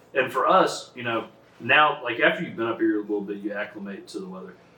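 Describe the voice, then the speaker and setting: A man with a Texas accent at a fairly quick pace, his intonation lively, over noticeable background noise. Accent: Texas Southern US. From Southeast Texas. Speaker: podcast host. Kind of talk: casual chat.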